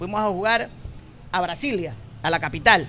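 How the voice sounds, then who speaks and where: A man speaks in a high pitch with a bright, sharp tone. His pace is moderate, and his pitch varies in an ordinary way. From Ecuador, Puerto Bolívar, El Oro province. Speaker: former professional footballer. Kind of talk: casual interview chat. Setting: live broadcast in a plaza with audience.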